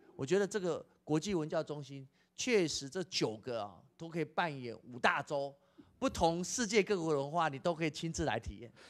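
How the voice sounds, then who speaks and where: A man speaks at a moderate pace in a fairly high voice, with lively intonation. His loudness swings widely from one moment to the next. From Taiwan. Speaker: education official; guest. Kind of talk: interview. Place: hall. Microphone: handheld.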